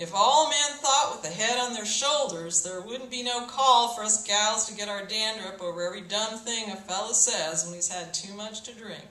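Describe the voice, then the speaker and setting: A put-on character voice drawls at a fairly high pitch and a moderate pace, with hardly any pauses. There is slight echo and light background noise. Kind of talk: public reading. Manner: slow, drawling.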